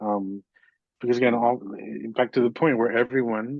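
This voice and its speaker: A man with a Miami accent speaks at a moderate pace in a medium pitch, with fairly even intonation and a dry, close sound with no echo. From Miami, Florida. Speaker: conductor. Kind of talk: panel discussion. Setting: video call. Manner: halting, many fillers.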